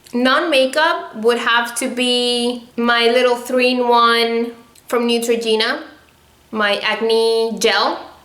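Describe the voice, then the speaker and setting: With audible room echo and noticeable background noise, a woman speaks very slowly in a high pitch. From Venezuela. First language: Spanish. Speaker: beauty vlogger. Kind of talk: casual Q&A vlog. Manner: animated.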